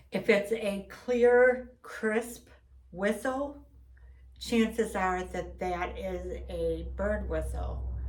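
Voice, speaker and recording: A woman at a very slow pace, over noticeable background noise. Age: 60s. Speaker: Bigfoot enthusiast vlogger. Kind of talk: casual monologue.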